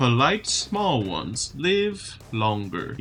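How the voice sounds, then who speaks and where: Soft-spoken and very slow, a man uses a put-on character voice at medium pitch with very wide pitch swings, clear background noise behind him. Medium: game stream. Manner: slow, broken simple speech.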